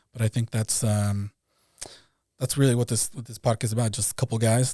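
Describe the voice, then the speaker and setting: Speaking at a fairly quick pace, a man uses a dark, mellow, somewhat breathy tone and fairly even intonation on a very clean recording with a silent background. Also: dry, close sound with no echo. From Mexico. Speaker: podcast co-host. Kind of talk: casual chat. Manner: halting, many repetitions.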